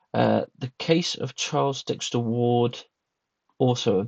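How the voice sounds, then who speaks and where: A man speaks at a very slow pace with a British accent, his medium-pitched voice carrying vocal fry. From Britain. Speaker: booktuber. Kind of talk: casual monologue review. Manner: hesitant, many fillers.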